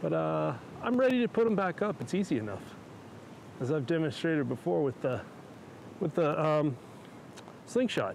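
A man with an American accent and a fairly high pitch, relaxed in tone, at a moderate pace with very wide pitch swings and long, frequent pauses, the sound dry with no echo over light background noise. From Oklahoma. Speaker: amateur radio hobbyist YouTuber. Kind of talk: casual vlog narration. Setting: outdoors in backyard. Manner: relaxed, with fillers.

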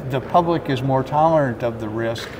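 A man with fairly even intonation, over noticeable background noise. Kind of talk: interview answer. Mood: measured, cautious. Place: hall. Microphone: handheld.

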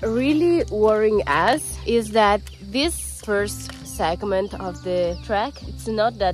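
A woman's voice, dry with no echo, over faint background music. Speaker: travel vlogger. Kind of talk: casual vlog chat. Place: open country. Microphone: phone near.

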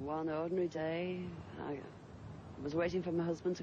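A woman speaks at a moderate pace with a fairly low, somewhat breathy voice. The sound is dry with no echo, though background noise is noticeable. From England. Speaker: UFO witness, mother. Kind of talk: interview answer. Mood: earnest, animated. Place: open country. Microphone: old recording.

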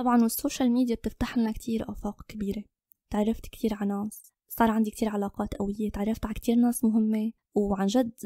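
In a dry, close recording with no echo, a woman speaks fairly quickly in a fairly high pitch, somewhat breathy, with a dark, mellow tone and monotone, flat intonation. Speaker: photographer and content creator. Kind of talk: interview.

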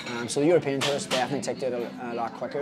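A man is talking. Clear music plays in the background. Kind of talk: interview answer. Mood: relaxed, enthusiastic. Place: cafe. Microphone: phone near.

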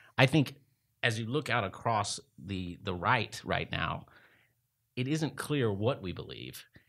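Speaking at a fairly slow pace against a quiet background, a man with an American accent shows vocal fry. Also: lively intonation. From East Texas. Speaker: lawyer and management consultant; lawyer. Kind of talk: debate. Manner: halting. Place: meeting room. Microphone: studio mic.

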